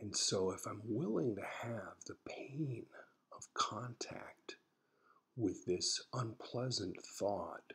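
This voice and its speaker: A man whispers quietly at a very slow pace with an American accent. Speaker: psychologist and therapist. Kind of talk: casual personal blog talk to camera. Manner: whispered, quiet.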